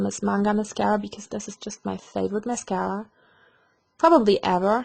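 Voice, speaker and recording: The speaker is a woman with a German accent. She talks at a fairly quick pace. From Germany. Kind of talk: makeup tutorial talk to camera.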